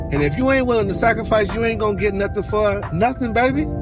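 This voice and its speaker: A man talks at a fairly quick pace. The sound is dry with no echo, with clear music in the background. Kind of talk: casual vlog rant. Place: car. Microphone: phone near.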